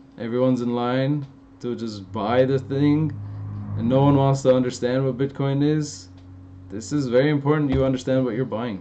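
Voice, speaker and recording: A man talks at a moderate pace with ordinary pitch variation and a medium pitch. Noticeable background noise runs under his voice. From Los Angeles, Armenian-American. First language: Armenian. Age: 30s. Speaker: fitness youtuber. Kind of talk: live stream Q&A. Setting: live stream. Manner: casual, animated.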